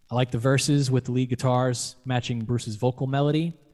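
Music plays in the background as a man speaks at a medium pitch. His pace is moderate and his intonation monotone and flat. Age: 40s. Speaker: podcast host. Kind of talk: casual chat.

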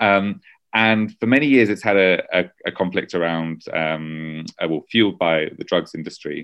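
A man with a British accent, very deep and low in pitch, with ordinary pitch variation and a fairly slow pace. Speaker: journalist and author. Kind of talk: interview.

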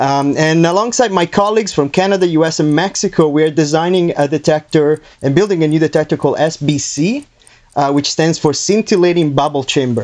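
A man with a plain, everyday voice, fairly high pitch, ordinary pitch variation and a moderate pace. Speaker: scientist, dark matter researcher. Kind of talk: casual explanation of science.

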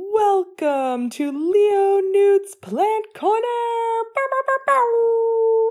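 A put-on character voice at an extremely high pitch, delivered at a very slow pace.

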